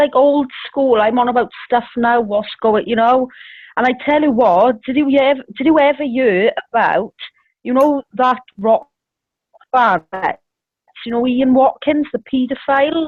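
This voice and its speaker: A woman with a Welsh accent speaks high in pitch at a fairly slow pace, with ordinary pitch variation and long, frequent pauses. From Wales. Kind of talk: casual chat.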